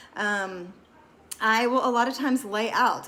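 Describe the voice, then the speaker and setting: Audible room echo surrounds speech delivered at a moderate pace, its pitch varying in an ordinary way. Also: woman. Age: 40s. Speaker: wellness vlogger. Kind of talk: casual talk to camera. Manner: casual, with many fillers.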